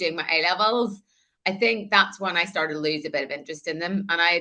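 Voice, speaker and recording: A woman speaks with a Northern Irish accent at a fairly quick pace, her tone bright and sharp. Her pitch varies in an ordinary way over a quiet background. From Northern Ireland, countryside. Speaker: air force veteran and author. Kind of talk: interview.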